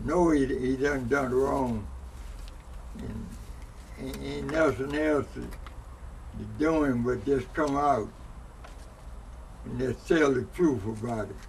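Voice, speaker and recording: Audible room echo surrounds a man who talks at a very slow pace, leaving long, frequent pauses. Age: 90s. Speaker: elder interviewee. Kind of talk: interview. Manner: halting, repeats words.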